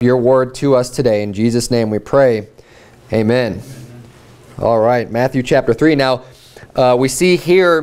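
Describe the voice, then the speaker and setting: A man at a fairly slow pace, with ordinary pitch variation and long, frequent pauses. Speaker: Baptist preacher. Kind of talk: sermon. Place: church.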